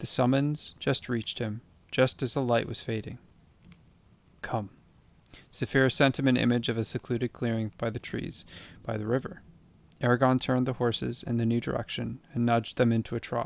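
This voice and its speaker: A soft-spoken man talks at a fairly quick pace in a calm tone, with long, frequent pauses. His medium pitch stays monotone and flat. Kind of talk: bedtime audiobook reading. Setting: rain and thunderstorm ambience in background. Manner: soft-spoken, calm, relaxing.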